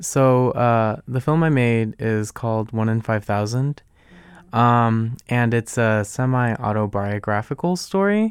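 This is a man with an unremarkable speaking voice, medium in pitch with ordinary variation, talking at a fairly slow pace. The recording is very clean, with a silent background. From Arlington, Virginia, US (born in Guatemala). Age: 20s. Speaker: college student and filmmaker. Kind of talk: radio interview. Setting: radio studio.

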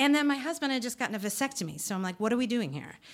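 In a plain, everyday voice, a woman speaks with fairly high pitch and lively intonation. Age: 50s. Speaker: storyteller and event host. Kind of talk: storytelling to a live audience. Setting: stage with audience. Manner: conversational, with self-corrections.

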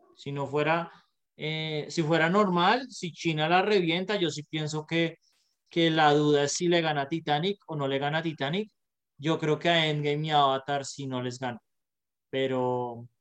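Speaking at a fairly high pitch, this man has a normal speaking voice. He keeps a moderate pace with ordinary pitch variation. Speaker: podcast co-host. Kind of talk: casual chat.

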